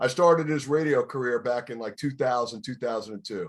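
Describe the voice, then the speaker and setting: Very fast, lively speech from a fairly high-pitched man with a New York accent, on a very clean recording with a silent background. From New York City, Bronx. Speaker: radio DJ. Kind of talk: casual chat.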